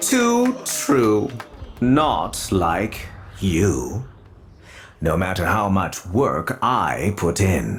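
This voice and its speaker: Using a put-on character voice, the speaker moves at a very slow pace with long, frequent pauses. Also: man, fairly low pitch for a man. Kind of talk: theatrical stage declamation. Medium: video game. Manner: grandiose, archaic phrasing.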